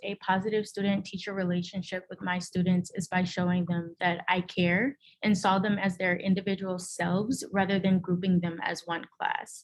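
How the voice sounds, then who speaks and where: A woman at a medium pitch, somewhat breathy, at a moderate pace. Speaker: teacher. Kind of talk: presentation. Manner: halting.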